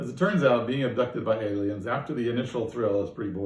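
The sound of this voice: An unforced reading voice carries ordinary pitch variation throughout.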